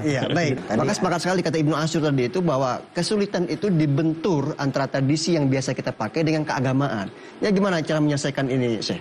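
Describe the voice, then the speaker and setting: Over noticeable background noise, a man with a fairly high pitch talks at a very fast pace with hardly any pauses, very even loudness and ordinary pitch variation. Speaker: TV talk show host. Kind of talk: TV religious talk show hosting.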